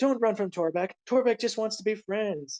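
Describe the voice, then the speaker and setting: A man shouts loudly in a put-on character voice pitched high for a man. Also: moderate pace. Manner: loud, yelling, pleading.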